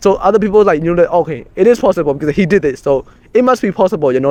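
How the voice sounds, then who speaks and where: A man with a Burmese accent speaks at a high pitch. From Myanmar. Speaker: community co-founder. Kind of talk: casual conversation. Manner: halting, many fillers and restarts.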